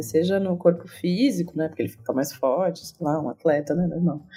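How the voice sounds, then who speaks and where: A woman speaks at a moderate pace with a medium pitch. Her voice is somewhat breathy, with a dark, mellow tone. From Campinas, São Paulo state, Brazil. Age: 30s. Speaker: sports historian. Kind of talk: interview.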